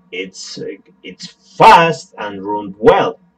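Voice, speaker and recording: A man speaks with a Spanish accent at a very slow pace. His pitch is fairly high. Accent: non-native English, Spanish. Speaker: tech tutorial youtuber. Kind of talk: tutorial. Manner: halting.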